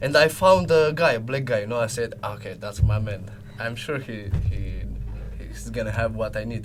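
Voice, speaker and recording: A man with a Romanian accent, big swings in loudness, audible room echo and music in the background. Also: moderate pace. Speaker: business development salesman. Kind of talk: casual chat. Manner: halting.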